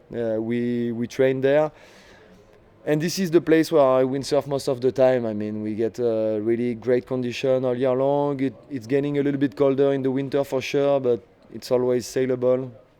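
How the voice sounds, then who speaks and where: A man talks at a moderate pace with a dark, mellow tone. His intonation stays fairly even. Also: medium pitch for a man. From southern France. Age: 30s. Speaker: professional windsurfer. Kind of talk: interview.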